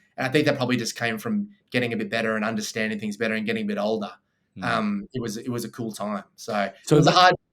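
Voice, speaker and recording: A man talks very fast, his medium-pitched voice showing ordinary pitch variation. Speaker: real estate CEO and auctioneer. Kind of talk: podcast interview answer. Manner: casual, conversational.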